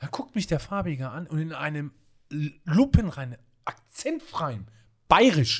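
Speaking with a slight Swabian accent, a man uses an animated tone at a fairly high pitch and a fairly slow pace, with very wide pitch swings, big swings in loudness and long, frequent pauses. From Swabian Jura near Reutlingen, southern Germany. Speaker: hotel executive and consultant. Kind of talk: casual interview chat.

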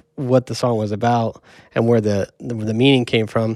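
A man with a medium pitch, a normal speaking voice and a fairly quick pace. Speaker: podcast co-host and music producer. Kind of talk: casual chat. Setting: studio.

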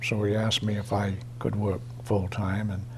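A man with an Eastern New England accent, fairly low in pitch, with monotone, flat intonation at a fairly slow pace amid audible room echo. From Easton, Massachusetts. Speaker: retiree sharing local memories. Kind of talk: oral history interview.

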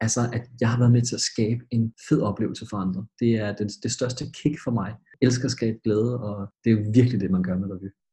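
Dry and close with no echo, a man with a dark, mellow tone and medium pitch speaks somewhat breathily at a moderate pace, with fairly even intonation and hardly any pauses. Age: 20s. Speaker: schoolteacher, revue panel judge. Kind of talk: casual chat.

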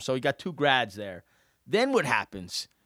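With a New Jersey accent, a man speaks at a moderate pace in a fairly high, bright, sharp voice, recorded very cleanly against a silent background with a dry, close sound and no echo. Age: 40s. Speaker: podcast host, real estate agent. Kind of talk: casual chat.

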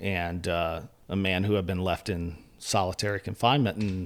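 A plain, everyday voice with an American accent comes through in a very clean recording with a silent background. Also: man. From northeastern North Carolina, US. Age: 40s. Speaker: journalist and editor. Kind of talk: interview conversation.

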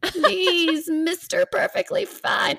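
The speaker uses a put-on character voice at an extremely high pitch with very wide pitch swings. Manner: pleading, wheedling.

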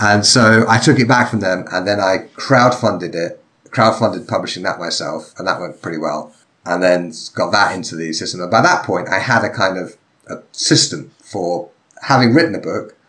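The voice carries an English accent and a bright, sharp tone. It moves at a moderate pace with lively intonation. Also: man, fairly low pitch for a man. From England. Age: 40s. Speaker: author and sword-fighting instructor, podcaster. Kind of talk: casual chat. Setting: video call.

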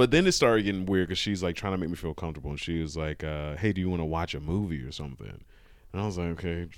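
On a very clean recording with a silent background, a man with a very deep, low voice talks at a very fast pace with ordinary pitch variation. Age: 30s. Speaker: comedian and former massage therapist. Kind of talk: casual interview chat, storytelling.

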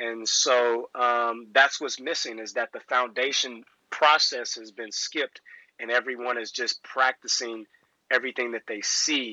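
Speaking with a Texas accent, a man uses a medium pitch and fairly even intonation at a fairly slow pace. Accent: Southern US (Texas). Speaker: professional basketball player and coach. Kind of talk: casual interview.

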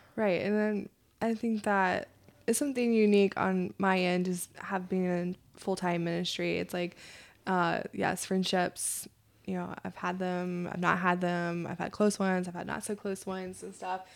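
A woman speaks at a moderate pace and medium pitch, her intonation fairly even. It is an unremarkable speaking voice on a very clean recording with a silent background. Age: 30s. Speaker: podcast co-host. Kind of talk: casual chat.

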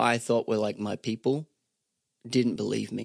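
A man's medium-pitched voice at a moderate pace, dry and close with no echo, over a quiet background. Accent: Australian. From Australia, Sunshine Coast. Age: 30s. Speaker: singer-songwriter. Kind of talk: casual chat.

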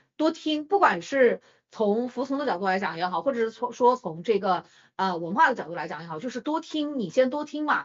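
With very wide pitch swings, a woman speaks at a high pitch and a fairly quick pace. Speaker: podcast co-host. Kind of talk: casual chat.

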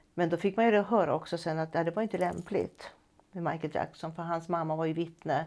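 A woman with an ordinary speaking voice and fairly low pitch talks at a fairly quick pace. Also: fairly even intonation, very clean recording, silent background. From Stockholm, Sweden. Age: 60s. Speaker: retired music teacher. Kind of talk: personal testimony.

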